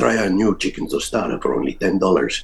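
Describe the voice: A man puts on a gravelly character voice with a Spanish accent as part of the act. He speaks at a moderate pace. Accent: faux Spanish.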